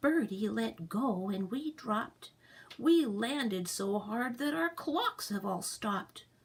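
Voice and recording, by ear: Lively intonation shapes the delivery. The text is read aloud in a natural voice.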